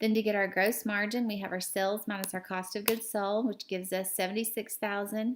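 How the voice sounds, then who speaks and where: This woman has an unremarkable speaking voice, a medium pitch and fairly even intonation. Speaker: accounting teacher. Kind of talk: tutorial.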